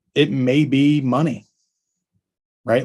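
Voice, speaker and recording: Recorded very cleanly against a silent background, a man speaks at a medium pitch and a fairly slow pace with fairly even intonation. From Tennessee. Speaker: roofing business trainer. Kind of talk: business training talk.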